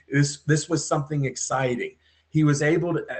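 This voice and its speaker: Somewhat breathy, a man talks at a moderate pace, his intonation fairly even. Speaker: podcast guest. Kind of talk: interview answer.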